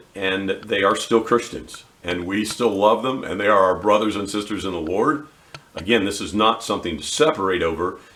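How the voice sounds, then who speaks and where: Amid noticeable background noise, a man with a fairly low pitch talks at a fairly quick pace with ordinary pitch variation. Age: 60s. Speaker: Bible teacher. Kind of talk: bible teaching.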